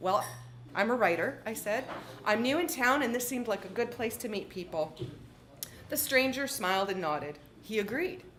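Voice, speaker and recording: A woman with a Canadian accent speaks at fairly high pitch and a moderate pace, with audible room echo. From Canada, southwestern Ontario. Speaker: author. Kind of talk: reading aloud.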